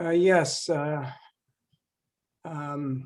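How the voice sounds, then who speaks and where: A man speaks at a fairly high pitch in a dark, mellow tone. His intonation is flat and monotone. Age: 70s. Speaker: audience member. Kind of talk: audience comment.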